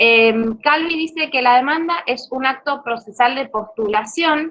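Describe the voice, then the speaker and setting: With lively intonation, this woman delivers her words at a fairly slow pace. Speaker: law lecturer. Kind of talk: online lecture. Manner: hesitant fillers.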